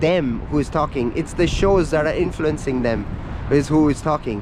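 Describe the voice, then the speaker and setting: Intonation is lively, at a moderate pace. Noticeable background noise runs underneath. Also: man. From India. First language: not English, speaks Hindi. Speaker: travel vlogger. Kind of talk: casual vlog monologue. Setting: outdoors at a coastal lookout. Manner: casual, ranting.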